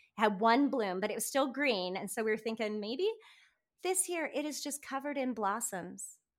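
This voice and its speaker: Speaking at a moderate pace, a woman uses a normal speaking voice, fairly high in pitch, with lively intonation. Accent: American. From US Pacific Northwest, north central Washington. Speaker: homesteader. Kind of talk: casual chat.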